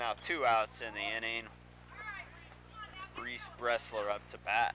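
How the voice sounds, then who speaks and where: A man at a fairly slow pace, with big swings in loudness over noticeable background noise. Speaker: baseball play-by-play commentator. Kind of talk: live sports commentary.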